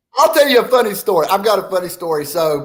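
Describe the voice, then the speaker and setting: Speaking with a Southern accent, a man keeps a moderate pace. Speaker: podcast co-host. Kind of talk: casual chat.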